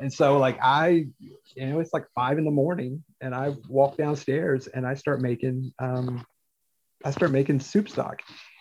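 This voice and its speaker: Using an ordinary speaking voice, a man with an American accent talks at a moderate pace with a fairly high pitch and fairly even intonation. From US South, North Carolina Piedmont (Forsyth County). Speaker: pastor. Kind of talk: casual chat.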